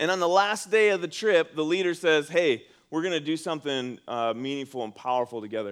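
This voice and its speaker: An ordinary speaking voice from a man, fairly high in pitch, lively in intonation, fairly quick in pace, in a very clean recording with a silent background. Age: 40s. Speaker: pastor. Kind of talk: sermon. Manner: conversational.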